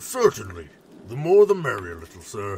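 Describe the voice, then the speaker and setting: A man in a put-on character voice. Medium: audio drama. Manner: calm, formal.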